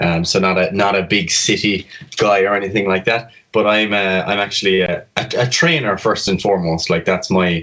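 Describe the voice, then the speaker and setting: A southwest Irish accent at a moderate pace, with ordinary pitch variation, very even loudness, hardly any pauses and noticeable background noise. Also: man, fairly low pitch for a man. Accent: southwest Irish (Kerry). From Ireland, County Kerry. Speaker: fitness coach and medical student. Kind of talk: podcast interview.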